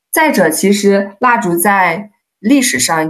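A woman with an ordinary speaking voice, lively intonation and a fairly slow pace. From China, Hunan. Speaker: candle maker, market stall seller. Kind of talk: casual interview chat.

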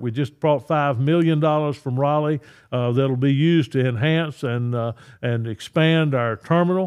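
A man talks at a moderate pace with ordinary pitch variation. He speaks with a North Carolina accent. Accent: US Southern (North Carolina). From North Carolina, Richmond County. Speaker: state senator. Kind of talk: interview. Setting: studio. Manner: halting.

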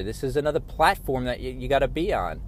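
A man's fairly high voice with vocal fry at a fairly quick pace, on a very clean recording with a silent background. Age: 50s. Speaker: podcaster. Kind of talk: casual monologue. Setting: in a car. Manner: conversational, with filler words.

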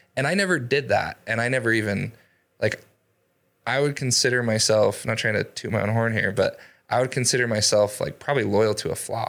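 A man with an American accent and an unremarkable speaking voice, medium in pitch with ordinary pitch variation. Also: fairly quick pace, very clean recording, silent background. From Idaho. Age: 30s. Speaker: door-to-door sales leader and real estate investor. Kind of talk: interview.

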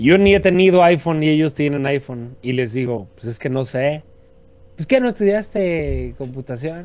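Here a man with an unremarkable speaking voice and a fairly high pitch talks at a moderate pace with lively intonation. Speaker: podcast co-host. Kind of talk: casual chat.

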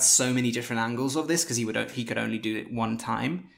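Talking at a fairly quick pace, a man with a medium pitch and vocal fry shows ordinary pitch variation. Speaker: podcast host. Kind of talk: casual chat.

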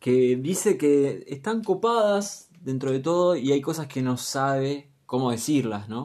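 A man talks at a very slow pace with a Rioplatense accent. His pitch sits fairly high, and his intonation is lively. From Argentina, Luján (Buenos Aires province). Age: 20s. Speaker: podcast co-host. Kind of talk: casual chat.

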